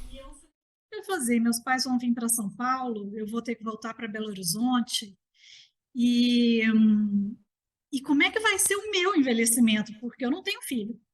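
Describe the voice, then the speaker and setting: Speaking with a Minas Gerais accent, a woman with a high voice talks at a moderate pace, her intonation lively and her loudness swinging widely. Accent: Mineiro Brazilian Portuguese. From Minas Gerais, Brazil. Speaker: architect and gerontologist. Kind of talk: interview conversation.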